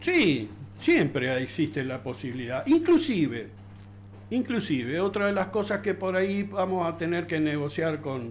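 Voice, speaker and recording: A man speaks at a fairly slow pace in a fairly high pitch with vocal fry. His pitch swings very widely. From Argentina, Río Negro (Darwin). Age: 60s. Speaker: local resident. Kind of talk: interview. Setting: studio. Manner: halting, many fillers and repetitions.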